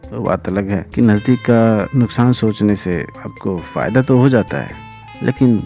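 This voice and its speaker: With music in the background, a man speaks at a fairly low pitch with lively intonation. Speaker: voiceover artist. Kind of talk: reflective podcast monologue.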